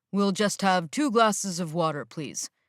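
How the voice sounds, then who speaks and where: A woman uses a put-on character voice at medium pitch and a moderate pace on a very clean recording with a silent background. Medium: read story. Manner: uncertain.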